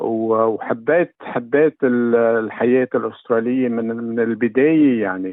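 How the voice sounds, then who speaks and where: A man is talking. His pace is very slow. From Lebanon, Ehden-Zgharta. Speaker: newspaper editor. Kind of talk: interview. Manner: halting.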